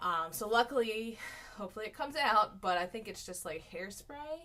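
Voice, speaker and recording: An ordinary speaking voice from a woman, fairly high and lively in pitch, at a moderate pace with big swings in loudness. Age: 30s. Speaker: weight-loss vlogger and teacher. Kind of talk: casual vlog. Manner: rambling with many fillers.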